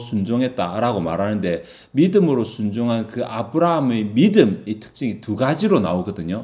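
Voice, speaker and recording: A man's pitch swings very widely as audible room echo hangs around his voice. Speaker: pastor. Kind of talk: sermon. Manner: fast.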